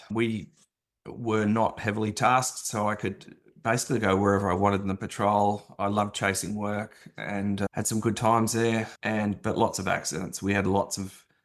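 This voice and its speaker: Australian-accented man with a fairly low pitch, monotone, flat intonation and a moderate pace. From Australia, Sydney. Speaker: former police officer. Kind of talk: interview testimony.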